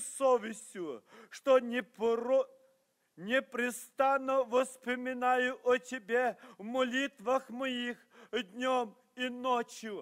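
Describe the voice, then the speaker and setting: Against a quiet background, a man with an extremely high voice speaks at a very slow pace with fairly even intonation. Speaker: preacher. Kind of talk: sermon. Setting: church. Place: church. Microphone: podium.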